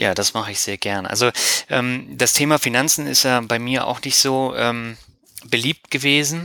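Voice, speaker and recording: A man speaks in a normal speaking voice at a medium pitch. His pitch variation is ordinary, and his pace is moderate. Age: 30s. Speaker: finance blogger and podcaster. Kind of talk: interview.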